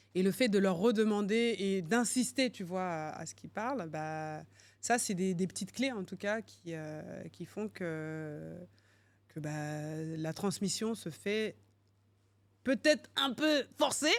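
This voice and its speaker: A woman speaks very slowly at medium pitch with big swings in loudness, on a very clean recording with a silent background. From France, Paris region. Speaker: finance executive and entrepreneur. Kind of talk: podcast interview. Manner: hesitant, many fillers.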